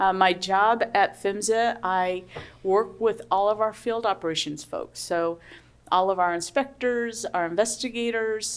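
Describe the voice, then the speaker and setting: On a very clean recording with a silent background, a woman with an American accent speaks at a fairly slow pace, her pitch varying in an ordinary way. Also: medium pitch for a woman. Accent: US Midwestern, heard by Canadians as Southern. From US Midwest. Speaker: government pipeline safety official. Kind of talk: conference panel talk. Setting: conference room with audience.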